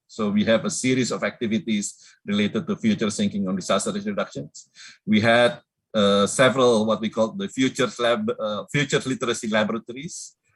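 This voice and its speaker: A man speaks at a fairly quick pace with a medium pitch and lively intonation. The background is quiet. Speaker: disaster risk reduction program officer. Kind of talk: conference presentation and Q&A. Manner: fast; halting, many fillers.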